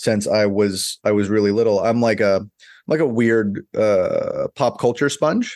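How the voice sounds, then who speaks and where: Over a quiet background, a man with an unremarkable speaking voice and an American accent talks fairly slowly at a medium pitch, with very even loudness and ordinary pitch variation. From US South. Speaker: portrait photographer. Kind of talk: casual chat.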